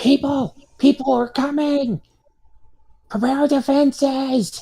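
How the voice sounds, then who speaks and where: Shouting in a put-on character voice, a man speaks at a fairly slow pace with an extremely high pitch. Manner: yelling, alarmed.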